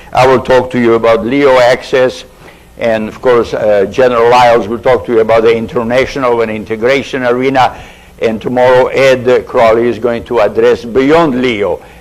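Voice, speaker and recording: Noticeable background noise sits behind a man speaking at a medium pitch and moderate pace with monotone, flat intonation. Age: 60s. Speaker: aerospace engineer and committee member. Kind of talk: committee briefing. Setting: public hearing. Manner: halting.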